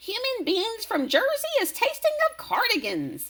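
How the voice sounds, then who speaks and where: A woman puts on a loud, squeaky character voice at an extremely high pitch. Her pitch swings very widely at a moderate pace. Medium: read story. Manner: ungrammatical, word-mangling.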